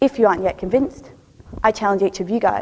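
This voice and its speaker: A woman talks at a very fast pace with an Australian accent. Her pitch is medium, with ordinary variation. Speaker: PhD researcher. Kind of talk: three-minute thesis competition talk.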